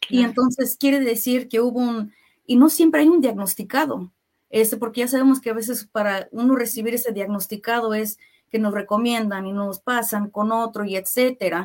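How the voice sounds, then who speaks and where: A woman with an ordinary speaking voice and a fairly high pitch talks at a moderate pace with ordinary pitch variation. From US Midwest (Kansas City), Mexican family. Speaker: health plan worker, mental health trainer. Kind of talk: radio interview. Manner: frequent filler words.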